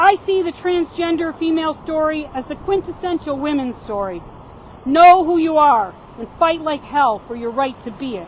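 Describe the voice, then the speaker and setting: A woman's high-pitched voice with lively intonation, big swings in loudness and a moderate pace, over noticeable background noise. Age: 60s. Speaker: activist speaker. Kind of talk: prepared speech. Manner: reading aloud with stumbles.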